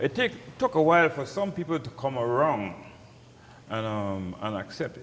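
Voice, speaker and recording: A man with a Crucian accent talks at a fairly slow pace and a fairly high pitch. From St. Croix, US Virgin Islands. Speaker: pastor. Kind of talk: interview. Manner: halting.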